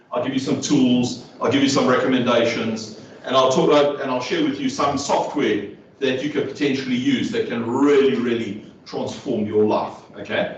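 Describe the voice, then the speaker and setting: Against noticeable background noise and audible room echo, a man speaks at medium pitch and a moderate pace. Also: ordinary pitch variation. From South Africa. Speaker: neurodiversity trainer and speaker. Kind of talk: workshop talk. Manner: conversational, checks in with audience.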